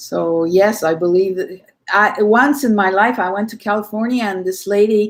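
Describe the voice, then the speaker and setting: A woman's plain, everyday voice at medium pitch, moderate pace and fairly even intonation. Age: 60s. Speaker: conference speaker, medium. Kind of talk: panel discussion.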